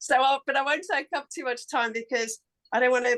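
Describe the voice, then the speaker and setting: A woman speaks in a high voice with ordinary pitch variation. The sound is dry and close with no echo, against a quiet background. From Africa. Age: 50s. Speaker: call participant asking a question. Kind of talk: question in a group call. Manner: halting.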